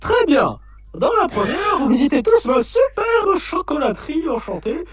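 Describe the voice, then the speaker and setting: With music in the background, a man puts on a character voice at a moderate pace. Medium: fan dub. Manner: theatrical, showman-like.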